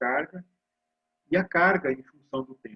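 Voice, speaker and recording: A man with a high pitch and lively intonation comes across dry and close, with no echo. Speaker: university physics lecturer. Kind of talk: lecture.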